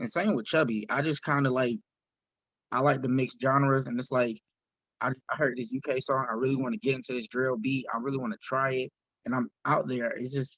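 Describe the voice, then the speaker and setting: A man with an American accent, medium pitch, ordinary pitch variation and a fairly quick pace, in a dry, close sound with no echo. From US South, South Carolina. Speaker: independent singer, rapper and comedian. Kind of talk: podcast interview. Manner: casual, halting.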